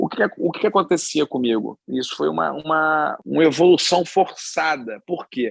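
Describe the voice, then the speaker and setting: In a Rio de Janeiro accent, a man with a fairly high pitch speaks in a dry, close sound with no echo. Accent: Carioca Brazilian Portuguese. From Rio de Janeiro, Brazil. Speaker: chef and restaurateur. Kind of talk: podcast interview answer.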